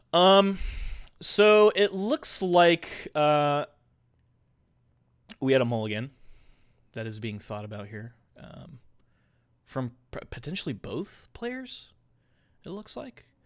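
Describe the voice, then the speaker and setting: On a very clean recording with a silent background, a man speaks at a very slow pace with long, frequent pauses. His fairly high voice shows very wide pitch swings and big swings in loudness. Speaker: tournament commentator and streamer. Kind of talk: live commentary.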